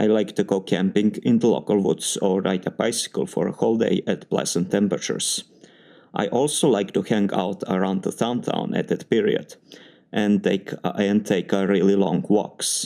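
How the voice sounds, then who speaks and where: With a Serbian accent, a man speaks at a moderate pace in a fairly low pitch, his tone dark and mellow, with ordinary pitch variation and very even loudness on a very clean recording with a silent background. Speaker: doctoral student in engineering. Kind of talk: spoken test answer samples. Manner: formal.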